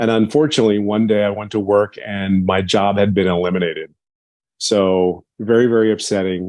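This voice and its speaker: This man talks at a fairly quick pace in a fairly low pitch with fairly even intonation and a plain, everyday voice. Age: 50s. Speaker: business program member. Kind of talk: testimony.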